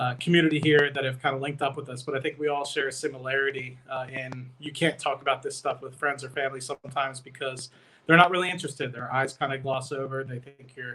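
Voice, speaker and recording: Talking at a very fast pace with hardly any pauses, a man with an American accent keeps a monotone, flat intonation while his loudness swings widely over noticeable background noise. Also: fairly high pitch for a man. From Michigan, US. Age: 20s. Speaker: investing YouTuber, petroleum engineer. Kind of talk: casual livestream talk. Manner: many fillers (uh, um).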